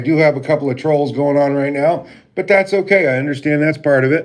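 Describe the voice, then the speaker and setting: This man talks at a fairly quick pace, his pitch fairly high and his intonation fairly even. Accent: American. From Vermont, US. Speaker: live streamer. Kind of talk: casual live stream chat. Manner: halting, many fillers.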